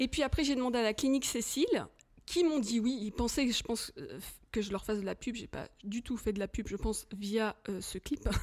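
A woman's fairly high voice with lively intonation, at a moderate pace. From Paris suburbs, Hauts-de-Seine. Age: 40s. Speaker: film director. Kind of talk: casual chat.

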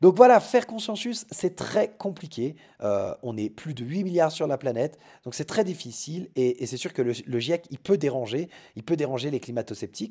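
This man has a dark, mellow tone and fairly high pitch. His pitch swings very widely. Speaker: podcast host. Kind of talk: solo podcast monologue. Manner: hesitant with fillers.

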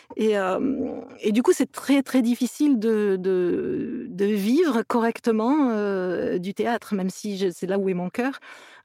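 Very slow delivery with hardly any pauses, lively intonation, and a dry, close sound with no echo. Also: woman, fairly high pitch for a woman. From southern France, Toulouse area. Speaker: actress and producer. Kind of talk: interview. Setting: remote call.

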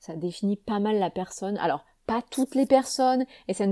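Recorded dry and close with no echo against a silent background in a very clean recording, a woman speaks at medium pitch with ordinary pitch variation and a dark, mellow tone. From southern France, Avignon. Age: 30s. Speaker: wellness coach and podcaster. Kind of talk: casual solo monologue. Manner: hesitant, many fillers and repetitions.

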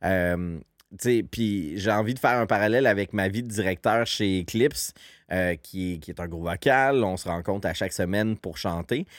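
With a Quebec accent, a man speaks at a moderate pace in a fairly low pitch with ordinary pitch variation, on a very clean recording with a silent background. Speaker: podcast host, community organization director. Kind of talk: casual chat.

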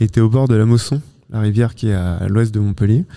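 Fairly low in pitch, a man speaks in a somewhat breathy voice. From Normandy, France. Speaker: entomologist and author. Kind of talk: interview. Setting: mobile studio at a festival. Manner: halting, many repetitions and hesitations.

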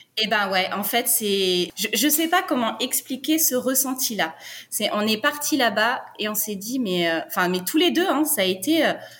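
A woman speaks at a fairly slow pace and a fairly high pitch, with very wide pitch swings. Noticeable background noise runs underneath. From France (Brittany). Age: 30s. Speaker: nurse and expatriate. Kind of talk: interview, personal story.

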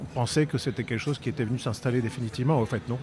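A man speaks with fairly even intonation. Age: 50s. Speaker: eyewitness of historical event, filmmaker. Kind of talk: interview testimony. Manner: halting, many hesitations.

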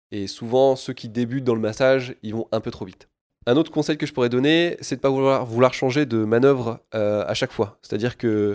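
In a very clean recording with a silent background, a man talks at a fairly quick pace with fairly even intonation. His pitch is medium, and he has an unremarkable speaking voice. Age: 30s. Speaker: sports product engineer, former physiotherapist. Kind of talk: expert interview.

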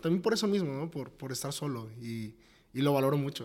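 A man with a Mexican accent talks at a fairly quick pace. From Mexico, Tepic, Nayarit. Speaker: startup co-founder. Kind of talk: interview.

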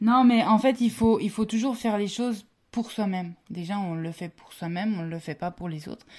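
A somewhat breathy woman speaks at a medium pitch and a moderate pace with ordinary pitch variation. Her loudness swings widely on a very clean recording with a silent background. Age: 20s. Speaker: former biathlete and ski instructor. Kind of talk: interview.

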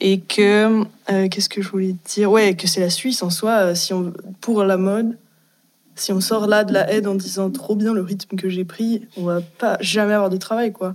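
This woman's pitch sits in the medium range. She speaks at a moderate pace with monotone, flat intonation. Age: 20s. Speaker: fashion design student. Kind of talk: casual panel discussion.

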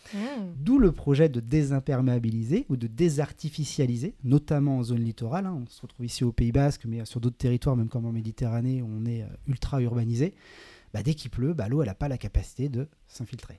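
On a very clean recording with a silent background, a man talks at a fairly quick pace and medium pitch, with ordinary pitch variation and big swings in loudness. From western France, Saint-Nazaire (Loire-Atlantique). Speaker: environmental NGO project manager. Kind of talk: casual interview. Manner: hesitant, many fillers.

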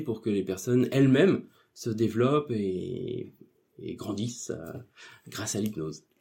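A man's dark, mellow voice moves at a fairly slow pace with ordinary pitch variation. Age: 40s. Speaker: office employee and part-time hypnotherapist. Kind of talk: interview. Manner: hesitant, many fillers.

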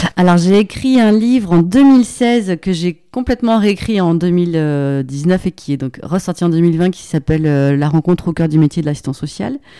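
A woman's dark, mellow voice, fairly low in pitch, with lively intonation, a moderate pace and hardly any pauses, on a very clean recording with a silent background. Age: 40s. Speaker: social worker and author. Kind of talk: casual interview conversation.

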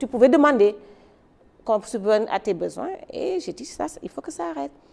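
Over noticeable background noise, a woman's voice swings very widely in pitch. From Senegal, Dakar. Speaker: hotel entrepreneur. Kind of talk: interview testimony. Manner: halting, repeats words.

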